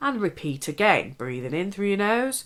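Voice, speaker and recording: A woman's calm, bright, sharp tone at a fairly slow pace, with very wide pitch swings. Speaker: hypnotherapist. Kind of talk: guided relaxation / hypnotherapy talk. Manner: calm, instructive.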